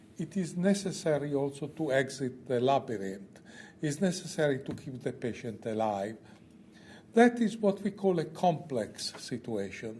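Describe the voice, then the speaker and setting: A man speaks with a fairly high pitch and a dark, mellow tone. His voice is somewhat breathy and swings very widely in pitch. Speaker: oncologist. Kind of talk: conference lecture. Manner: slow.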